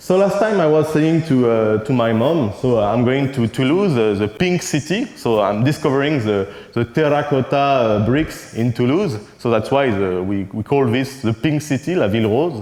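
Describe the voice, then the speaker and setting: A man with a French accent at a moderate pace, lively intonation, very even loudness and hardly any pauses, against noticeable background noise. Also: medium pitch for a man. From France. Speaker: conference keynote speaker, cartoonist. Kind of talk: conference keynote. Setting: stage with audience. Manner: halting, with frequent hesitations.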